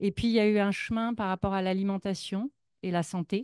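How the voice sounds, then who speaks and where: Against a quiet background, a woman speaks at a moderate pace and medium pitch with fairly even intonation, in a dry, close sound with no echo. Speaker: psychologist, speaker sharing her path. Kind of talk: public talk, personal testimony. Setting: stage with audience at a festival. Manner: hesitant, many fillers.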